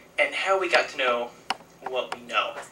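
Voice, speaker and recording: Against noticeable background noise, a man with an American accent and a fairly high pitch talks at a moderate pace. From Missouri, US Midwest. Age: 20s. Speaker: park interpreter, historian. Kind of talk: public talk.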